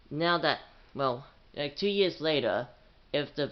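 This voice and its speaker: This man speaks quietly, his pitch fairly high. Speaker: YouTuber. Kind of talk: casual vlog talk to camera.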